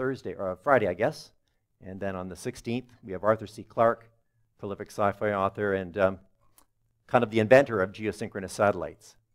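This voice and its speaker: A man with a fairly low pitch speaks at a fairly quick pace, his loudness swinging widely over a quiet background. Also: ordinary pitch variation. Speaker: presenter. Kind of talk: lecture. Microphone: headset.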